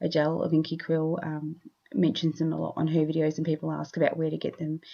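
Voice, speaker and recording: A woman with an Australian accent talks at a very fast pace. Her pitch is very deep and low, and her intonation is fairly even. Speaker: scrapbooking YouTuber. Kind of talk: craft tutorial voiceover. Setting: home studio voiceover. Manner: loud and clear. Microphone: new separate microphone, recent sound muted.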